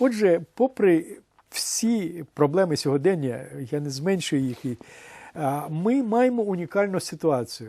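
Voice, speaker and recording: A man speaks very slowly in a high voice with a dark, mellow tone and very wide pitch swings. Long, frequent pauses break up his speech. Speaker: publisher and editor. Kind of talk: interview. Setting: TV studio.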